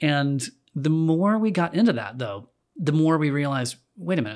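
With an American accent, a man in a plain, everyday voice talks at a moderate pace with a fairly high pitch and lively intonation on a very clean recording with a silent background. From North Carolina, Winston-Salem. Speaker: musician and designer. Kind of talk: casual chat.

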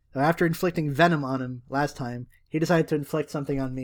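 On a very clean recording with a silent background, a man with a plain, everyday voice and fairly high pitch talks at a fairly quick pace. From Canada. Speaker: podcast co-host. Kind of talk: casual chat.

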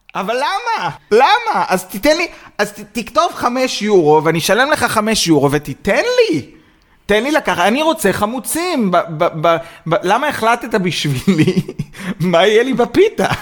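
Animated in tone, a man with a high pitch talks in very wide pitch swings. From Israel. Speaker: podcast co-host. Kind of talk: casual chat.

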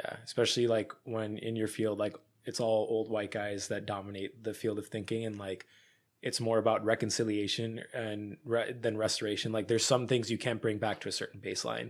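On a very clean recording with a silent background, a man speaks. His fairly low voice is monotone, with flat intonation. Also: fairly quick pace. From rural Pennsylvania. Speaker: recent college graduate. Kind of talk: casual chat. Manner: halting, many fillers.

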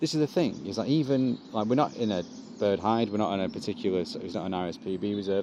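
A man with an ordinary speaking voice, fairly low in pitch, at a fairly quick pace with lively intonation. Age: 50s. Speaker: comedian. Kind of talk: casual chat.

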